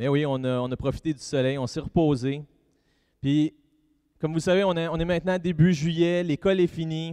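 Recorded dry and close with no echo, a man with a Quebec accent speaks at a moderate pace in a dark, mellow tone. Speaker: pastor. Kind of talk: sermon.

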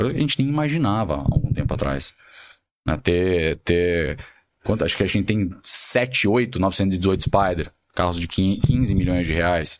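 A man talks at a very slow pace. His very deep, low voice carries lively intonation. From Brazil, São Paulo. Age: 30s. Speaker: luxury car dealer. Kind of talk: casual interview.

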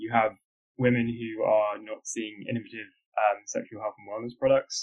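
Someone with a British accent talks at a moderate pace. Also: man. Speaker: podcast host. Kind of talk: interview.

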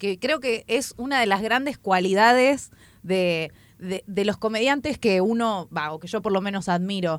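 Here a woman has an ordinary speaking voice at medium pitch with ordinary pitch variation. She goes at a fairly slow pace on a very clean recording with a silent background. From Chubut, Argentina. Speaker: podcast co-host, comedian. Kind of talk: casual chat. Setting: radio studio.

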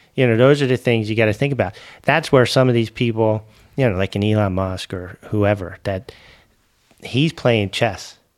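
Speaking at a medium pitch with ordinary pitch variation, a man has an unremarkable speaking voice. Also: moderate pace. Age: 40s. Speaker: mayor and business executive. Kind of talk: interview conversation.

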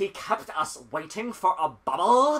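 A put-on character voice at a middle pitch and fairly slow pace. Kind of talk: snooty. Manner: pretentious.

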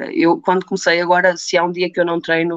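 This woman talks at a moderate pace in a fairly low pitch. The sound is dry and close, with no echo. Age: 30s. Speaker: weight-loss program participant. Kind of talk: interview. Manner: halting, many fillers.

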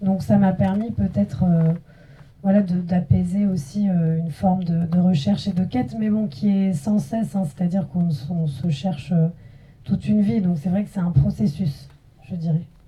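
This woman's voice is fairly low in pitch, with a dark, mellow tone and a somewhat breathy quality. Her intonation is lively. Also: moderate pace. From France. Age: young. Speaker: filmmaker. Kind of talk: post-screening panel discussion.

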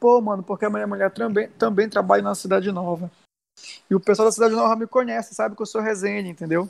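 Against a quiet background, a man talks very fast at a high pitch with ordinary pitch variation. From Brazil, Belém (Pará). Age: 30s. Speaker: viral audio personality, school foundation worker. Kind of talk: casual chat.

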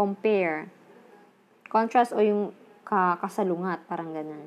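With ordinary pitch variation, this woman's delivery moves at a fairly slow pace. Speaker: Japanese language learner sharing study notes. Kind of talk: tutorial. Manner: halting.

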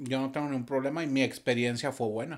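In a very clean recording with a silent background, a man with a fairly high pitch talks at a fairly quick pace in a normal speaking voice. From Torreón, Coahuila, northern Mexico. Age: 40s. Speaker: musician and audiovisual producer. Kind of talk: casual interview.

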